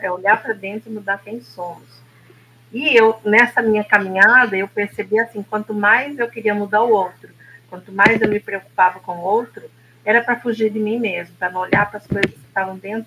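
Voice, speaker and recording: With an unremarkable speaking voice, a woman talks at a moderate pace and medium pitch, her loudness rising and falling sharply. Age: 60s. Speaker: therapist. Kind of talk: casual chat.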